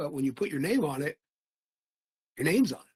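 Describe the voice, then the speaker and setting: This man has an American accent and a fairly high, somewhat breathy voice. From Philadelphia, US. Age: 70s. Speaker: author. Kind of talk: casual chat.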